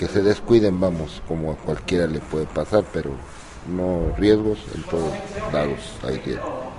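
Over noticeable background noise, a man speaks at a fairly slow pace with a very deep, low pitch and ordinary pitch variation. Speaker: boxing coach, former boxer. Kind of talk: interview.

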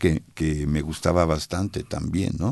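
A man talks at a moderate pace over a quiet background. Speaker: experimental rock vocalist. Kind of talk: interview. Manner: hesitant.

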